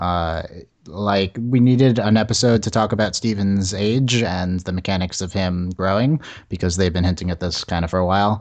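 Against a quiet background, a man talks in a normal speaking voice, fairly low in pitch with ordinary pitch variation. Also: moderate pace. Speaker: podcast host. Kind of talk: casual chat.

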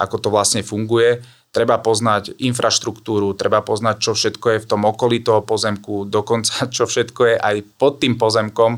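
The recording is very clean, with a silent background. A man speaks at a fairly low pitch and a moderate pace, in a monotone, flat intonation. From eastern Slovakia, Trebišov. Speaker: real estate developer project manager. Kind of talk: interview.

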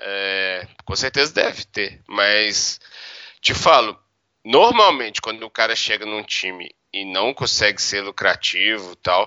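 A man speaks at a fairly slow pace in an ordinary speaking voice, his pitch sitting in the medium range. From Minas Gerais, Brazil. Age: 30s. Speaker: professional poker player. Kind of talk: interview.

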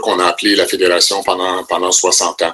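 At a fairly quick pace, a man speaks. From Ontario, Penetanguishene area. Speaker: retired educator, university board chair. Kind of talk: interview. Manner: halting, many repetitions.

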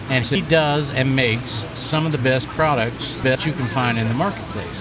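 With noticeable background noise behind him, a man speaks at a medium pitch and a moderate pace, with ordinary pitch variation. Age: 50s. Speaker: chef and food truck association leader. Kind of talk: casual chat. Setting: outdoors at a food truck park.

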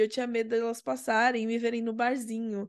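A woman speaks at a fairly quick pace in a high voice. The background is quiet. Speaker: podcast guest. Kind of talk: casual chat.

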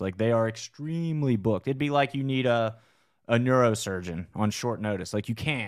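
Here is an ordinary speaking voice with ordinary pitch variation at a moderate pace. The recording is very clean, with a silent background. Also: man. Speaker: combat sports promotion podcast host. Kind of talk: casual chat. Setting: studio. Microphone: good studio mic.

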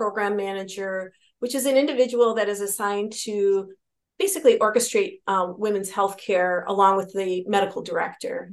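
A woman with an American accent talks fairly quickly at a medium pitch with ordinary pitch variation, in an ordinary speaking voice. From Wisconsin. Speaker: physician and Navy veteran. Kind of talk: interview.

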